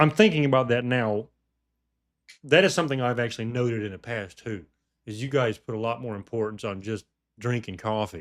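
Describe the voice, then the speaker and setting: With a Southern US accent, a man talks at a fairly quick pace and medium pitch, using ordinary pitch variation and long, frequent pauses. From US South, Georgia. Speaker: podcast host. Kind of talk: casual chat. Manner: halting, many repeats.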